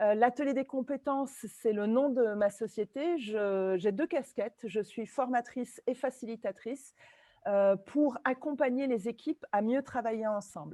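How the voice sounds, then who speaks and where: This woman talks at a fairly slow pace in a dark, mellow tone with fairly high pitch, the sound dry and close with no echo. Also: ordinary pitch variation. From Italy and France. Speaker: trainer and facilitator, webinar co-host. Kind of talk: webinar presentation. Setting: video call webinar.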